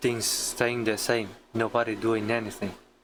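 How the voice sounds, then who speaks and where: This man speaks in a monotone with flat intonation. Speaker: vlogger. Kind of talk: rant monologue.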